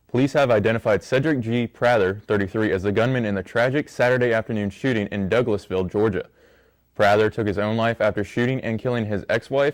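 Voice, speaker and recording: A man's unremarkable speaking voice at medium pitch, fairly quick in pace, with ordinary pitch variation. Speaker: college student news anchor. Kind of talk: newscast story reading.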